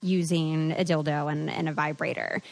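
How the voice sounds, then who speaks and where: A woman's fairly slow speech comes through over a quiet background. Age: 20s. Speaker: podcast host. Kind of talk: casual chat.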